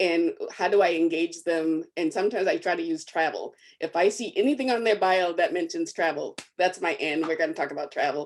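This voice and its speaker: Speaking with an American accent, a woman talks at a fairly quick pace. Her voice is fairly low, with ordinary pitch variation. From Arkansas and Massachusetts. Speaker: commissioning editor, panelist. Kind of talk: panel discussion. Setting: video call.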